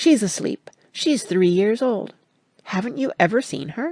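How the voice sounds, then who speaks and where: Moderate pace in a put-on character voice. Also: female-sounding voice, fairly high pitch for a woman. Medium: read story. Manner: gushing, breathless, playful.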